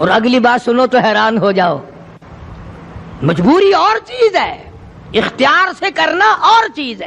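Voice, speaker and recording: Over noticeable background noise, a man's extremely high voice swings very widely in pitch. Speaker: Islamic preacher. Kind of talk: religious sermon.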